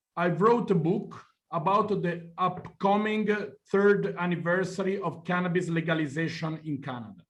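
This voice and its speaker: A man with an Italian accent speaks at a fairly slow pace in a high pitch, his pitch varying in an ordinary way, with audible room echo. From Italy. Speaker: journalist. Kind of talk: lecture. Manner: halting.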